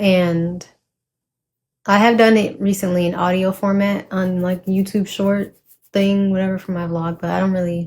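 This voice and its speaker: Speaking at a moderate pace, a woman holds a medium pitch in a flat monotone. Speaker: poet and vlogger. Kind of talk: casual vlog chat with poetry reading.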